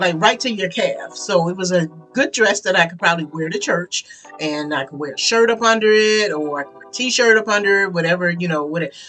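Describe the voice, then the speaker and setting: A medium-pitched woman's voice at a fairly quick pace, with ordinary pitch variation, big swings in loudness and music in the background. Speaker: sewing and upcycling vlogger. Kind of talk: casual personal story to camera. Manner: fast; hesitant, many fillers.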